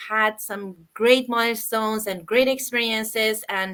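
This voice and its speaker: In an Iranian accent, a woman speaks at a fairly slow pace with a fairly high pitch and a bright, sharp tone. Her intonation is fairly even, and the recording is very clean with a silent background. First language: Farsi. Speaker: online business host. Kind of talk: live interview chat. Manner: halting, many fillers.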